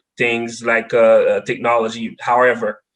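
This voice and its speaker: A man with a Haitian accent, medium pitch and a fairly slow pace. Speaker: data science expert. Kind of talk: podcast interview.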